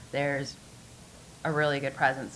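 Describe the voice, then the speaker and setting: Amid audible room echo, a woman talks very fast in a very deep, low, flat monotone. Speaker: pinball tournament organizer and operator. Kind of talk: conference panel talk. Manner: loud.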